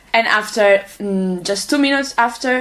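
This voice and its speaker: A woman talks with a Catalan accent and ordinary pitch variation. Noticeable background noise can be heard. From Catalonia, Spain (Manresa). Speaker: international volunteer. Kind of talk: interview. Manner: halting.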